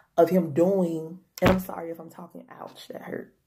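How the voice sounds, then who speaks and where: This woman's fairly low pitch carries vocal fry. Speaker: health vlogger. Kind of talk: casual vlog talk. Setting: home. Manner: fast.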